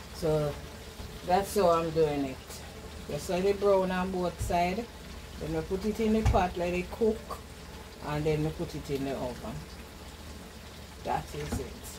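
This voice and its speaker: A woman talks at a fairly slow pace, leaving long, frequent pauses. Noticeable background noise is present. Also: fairly low pitch for a woman, ordinary pitch variation. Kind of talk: casual cooking tutorial chat. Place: kitchen. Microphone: camera far.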